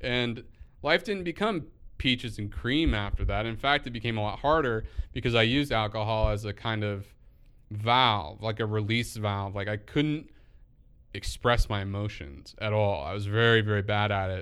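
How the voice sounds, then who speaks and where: At a moderate pace and fairly low pitch, a man with a plain, everyday voice talks with ordinary pitch variation. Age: 30s. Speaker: podcast host and poet. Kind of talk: solo monologue.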